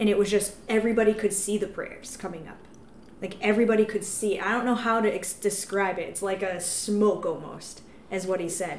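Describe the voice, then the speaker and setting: A woman speaks at a fairly quick pace and medium pitch with fairly even intonation but big swings in loudness, over noticeable background noise. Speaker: evangelist podcast host. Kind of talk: casual chat.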